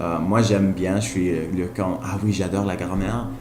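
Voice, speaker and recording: Amid noticeable background noise and audible room echo, a man with a Spanish accent speaks at a moderate pace and a fairly low pitch. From Colombia. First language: Spanish (speaking French). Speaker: language learner vlogger. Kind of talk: casual vlog monologue. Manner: halting, frequent hesitations and repetitions; enthusiastic.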